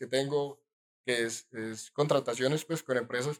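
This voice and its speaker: A man's unremarkable speaking voice with fairly even intonation. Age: 20s. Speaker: entrepreneur. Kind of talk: casual interview.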